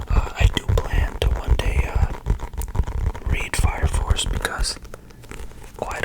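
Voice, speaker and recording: Noticeable background noise accompanies a man who whispers. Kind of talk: ASMR video, casual talk to camera. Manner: soft-spoken.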